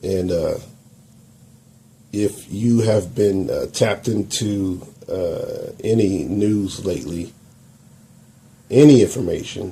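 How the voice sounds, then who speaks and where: A man's fairly low, dark and mellow voice, somewhat breathy, with an American accent, at a very slow pace with long, frequent pauses. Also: ordinary pitch variation. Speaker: YouTube commentator. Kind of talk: video commentary.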